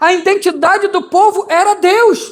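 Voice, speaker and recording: A man speaks at a very slow pace. His pitch shows ordinary variation. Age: 60s. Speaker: pastor. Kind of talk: sermon.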